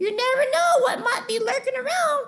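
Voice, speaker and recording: Her voice is a squeaky, put-on character voice. This woman uses an extremely high pitch at a moderate pace. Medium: read story. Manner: smooth, falsely polite.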